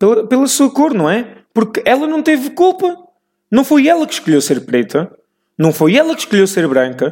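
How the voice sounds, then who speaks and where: A man's extremely high voice with very wide pitch swings, in a European Portuguese accent. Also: moderate pace. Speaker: podcast host. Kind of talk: casual monologue. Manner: halting.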